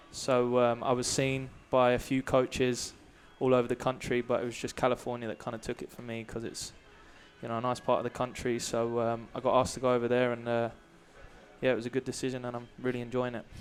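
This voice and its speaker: A man's very fast, medium-pitched speech with an English accent and monotone, flat intonation. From England, Brighton. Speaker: college soccer player. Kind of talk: halftime interview. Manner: hesitant, many fillers.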